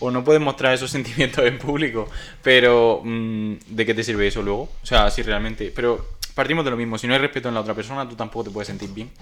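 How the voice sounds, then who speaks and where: A man with a medium pitch speaks very fast with hardly any pauses and fairly even intonation. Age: 20s. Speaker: podcast co-host, graphic designer. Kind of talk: casual chat. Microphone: cheap microphone and headset.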